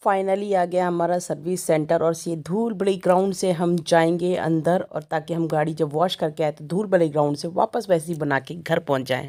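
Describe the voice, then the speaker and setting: A woman with an unremarkable speaking voice talks at a moderate pace and a fairly low pitch, with fairly even intonation and hardly any pauses. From Uttarakhand. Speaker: vlogger. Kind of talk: casual talk to camera.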